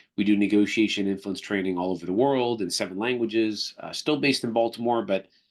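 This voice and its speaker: Against a quiet background, a man with a slight Canadian accent talks at a very fast pace in a fairly low pitch with ordinary pitch variation. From Canada. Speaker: negotiation trainer and company executive. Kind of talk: podcast interview. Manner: conversational with frequent fillers.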